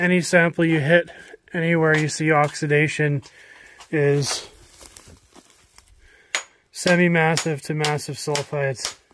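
A man speaks in a monotone, flat way at a fairly slow pace. The sound is dry with no echo, yet background noise is noticeable. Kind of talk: field tutorial commentary. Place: forest. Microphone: phone near.

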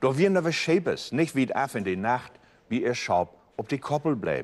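Lively intonation in a Mecklenburg accent. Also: man. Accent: Low German (Mecklenburg Platt). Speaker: storyteller. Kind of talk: Bible story reading in dialect. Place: studio.

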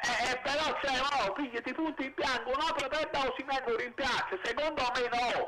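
Over loud background noise, a man uses a raised, projected voice at an extremely high pitch and a moderate pace. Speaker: caller. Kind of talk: phone-in opinion. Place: street. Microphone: handheld.

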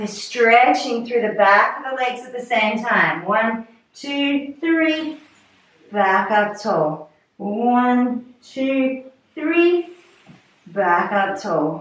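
Talking at a very slow pace, a woman with a high pitch uses lively intonation amid audible room echo. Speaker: fitness instructor. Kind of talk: guided pilates class. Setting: video call. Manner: calm, soothing; steady, rhythmic cueing with countdowns. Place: home room.

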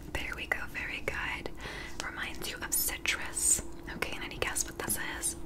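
Over loud background noise, a soft-spoken woman talks at a moderate pace. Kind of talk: soft-spoken role-play to viewer. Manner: soft close ASMR voice. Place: home room.

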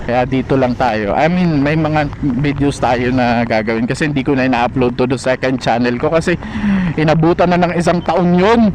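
A man's fairly high voice at a moderate pace, ordinary pitch variation, noticeable background noise behind it. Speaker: motovlogger. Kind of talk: casual monologue. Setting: riding a motorbike outdoors. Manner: animated; talkative.

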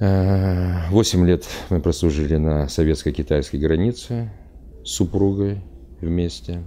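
Speaking very slowly with long, frequent pauses, a man uses a very deep, low pitch, a dark, mellow tone and ordinary pitch variation. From Uzbekistan. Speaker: traveler, retired military officer. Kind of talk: interview monologue; interview answer. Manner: halting. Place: studio.

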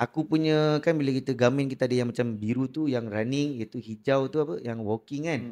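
In a dark, mellow tone, a man speaks at a medium pitch and a fairly quick pace, with fairly even intonation and hardly any pauses. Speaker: podcast host. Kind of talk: casual chat.

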